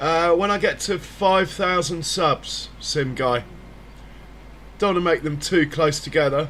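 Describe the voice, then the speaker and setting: A man with a British accent speaks at a fairly high pitch, his intonation fairly even. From Britain. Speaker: gaming streamer. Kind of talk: casual live-stream chat.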